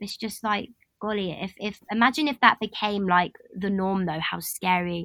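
A woman with a London accent, bright and sharp in tone, at a moderate pace, in a dry, close sound with no echo. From London, England. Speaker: podcast guest. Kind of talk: casual chat.

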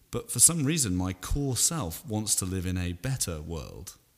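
With a southern English accent, a man speaks in very wide pitch swings. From England, Salisbury. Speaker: podcast guest. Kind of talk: casual chat.

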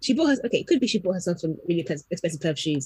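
A woman speaks in a fairly low pitch. Her voice is somewhat breathy. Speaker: podcast co-host. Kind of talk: casual chat.

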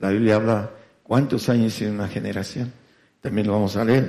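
This man has a fairly low pitch. His tone sounds dark and mellow. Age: 70s. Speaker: radio preacher. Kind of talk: sermon. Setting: congregation present, broadcast on FM. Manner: halting.

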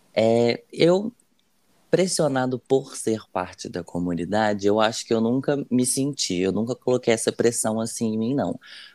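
At a fairly slow pace, a man speaks at medium pitch in a dark, mellow tone with lively intonation. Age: 20s. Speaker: student and podcast co-creator. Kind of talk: casual chat. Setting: remote call from home.

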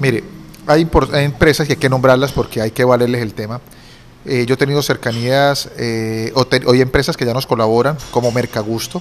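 A man's normal speaking voice at medium pitch, moderate in pace, with fairly even intonation. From Colombia, Cúcuta. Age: 40s. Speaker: lawyer and entrepreneur. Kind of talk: interview.

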